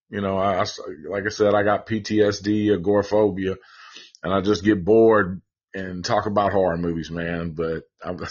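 The speaker is a man. He talks with a Southern US accent. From Tennessee. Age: 40s. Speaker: horror movie podcaster. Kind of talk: casual chat.

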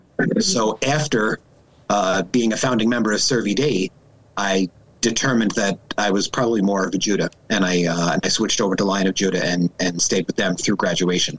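Noticeable background noise sits behind a man with an American accent, talking at a fairly quick pace and fairly low pitch. His loudness is very even, with ordinary pitch variation. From Long Island, New York. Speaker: lawyer. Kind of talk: interview. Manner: hesitant, many fillers.

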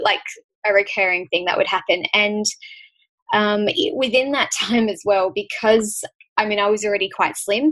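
The speaker has an Australian accent and ordinary pitch variation. The pace is moderate. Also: woman, fairly high pitch for a woman. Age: 20s. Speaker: author and health advocate. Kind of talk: casual chat.

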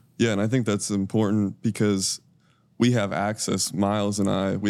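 With an American accent and an unremarkable speaking voice, a man talks at a moderate pace and fairly low pitch with fairly even intonation on a very clean recording with a silent background. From northwest Pennsylvania. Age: 20s. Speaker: team photographer and student manager. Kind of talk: casual chat.

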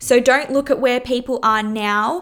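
A woman with an Australian accent, fairly high in pitch, her intonation fairly even. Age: 20s. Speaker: personal trainer and podcast host. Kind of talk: casual monologue.

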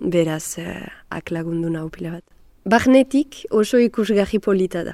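A woman speaks at a medium pitch in a dark, mellow tone. The sound is dry and close, with no echo. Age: 20s. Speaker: actress and singer. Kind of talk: interview.

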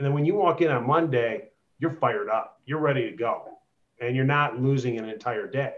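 He is a man with an American accent and a fairly high pitch. He has a plain, everyday voice with ordinary pitch variation. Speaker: real estate agent. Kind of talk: interview on a group call.

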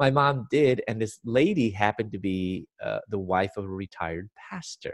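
A man with a Chicago accent speaks at a moderate pace in a fairly low voice with lively intonation, recorded very cleanly with a dry, close sound, no echo and a silent background. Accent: Chicago American. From US Midwest, Chicago. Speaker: Bible teacher and speaker. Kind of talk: interview testimony.

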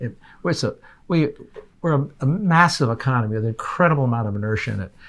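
With an ordinary speaking voice, a man talks at a medium pitch and a fairly quick pace with lively intonation in a very clean recording with a silent background. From Canada. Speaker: energy policy expert. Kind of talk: interview. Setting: in-person studio.

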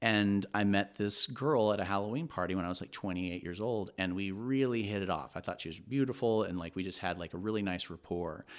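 An unremarkable speaking voice with an American accent, fairly quick and with hardly any pauses, showing ordinary pitch variation, on a very clean recording with a silent background. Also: man, fairly low pitch for a man. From Texas. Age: 30s. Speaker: podcast guest. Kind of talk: casual chat.

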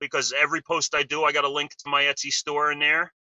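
A man speaks with a New Jersey accent. His pace is fairly quick. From US Northeast (New Jersey). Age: 50s. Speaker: model sculptor and caster. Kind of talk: interview.

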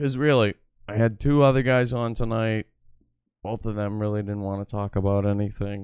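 A man with an American accent and an unremarkable speaking voice, fairly low in pitch, at a fairly quick pace with fairly even intonation. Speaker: livestream host. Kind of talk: casual banter on a livestream.

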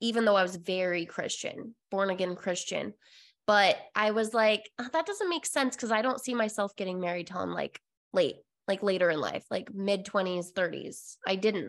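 A woman speaks at a medium pitch with an American accent. Her pace is moderate and her pitch varies in an ordinary way. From Utah. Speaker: confidence and sex coach. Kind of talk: casual interview chat.

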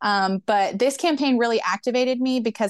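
A woman speaks in a normal speaking voice at a moderate pace, with ordinary pitch variation and a quiet background. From US South, Memphis, Tennessee. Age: 20s. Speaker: union organizer and barista. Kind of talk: interview.

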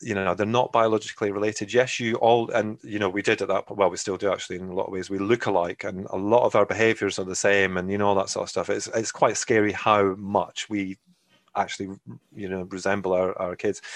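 A man speaks very fast in a Scottish accent. His fairly low voice stays monotone and flat. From Scotland. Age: 40s. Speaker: adoptive parent. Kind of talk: interview.

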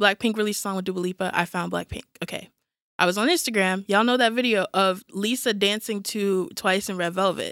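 Speaking at a fairly quick pace with an American accent, a woman has a normal speaking voice at medium pitch with ordinary pitch variation, recorded very clean with a silent background and a dry, close sound with no echo. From New York. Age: 20s. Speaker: K-pop fan, new podcast member. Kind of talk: casual chat.

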